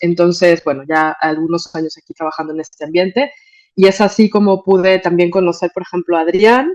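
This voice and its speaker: A woman speaks at a fairly low pitch with ordinary pitch variation. Her pace is moderate. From Mexico. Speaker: migration NGO manager. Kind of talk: conference talk. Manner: hesitant, many fillers.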